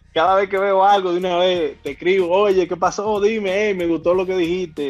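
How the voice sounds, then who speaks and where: A man with a Dominican accent speaks quickly in a high voice with fairly even intonation, set against a quiet background. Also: hardly any pauses. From Dominican Republic, Puerto Plata. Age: 30s. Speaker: surgeon. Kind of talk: casual interview.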